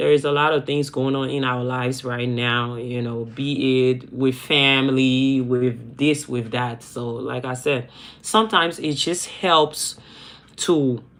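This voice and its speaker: A woman speaks at a fairly slow pace in a very deep, low voice, with ordinary pitch variation. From Liberia, West Africa. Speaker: YouTuber. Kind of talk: live stream chat. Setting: livestream. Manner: repetitive.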